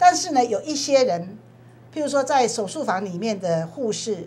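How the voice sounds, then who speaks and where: A woman's voice swings very widely in pitch while keeping a moderate pace. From Taiwan. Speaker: legislator; guest. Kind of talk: TV panel discussion. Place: studio. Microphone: lapel.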